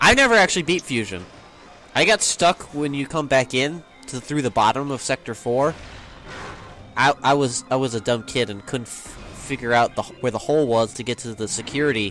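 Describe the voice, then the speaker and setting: Backed by music in the background, a man talks at a fairly quick pace with medium pitch and ordinary pitch variation. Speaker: video game let's play commentator. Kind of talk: casual gameplay commentary chat. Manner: loud.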